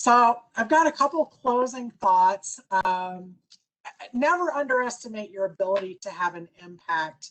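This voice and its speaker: At a fairly slow pace, a woman speaks in a fairly high voice with very wide pitch swings and big swings in loudness. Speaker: business consultant and speaker. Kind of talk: presentation.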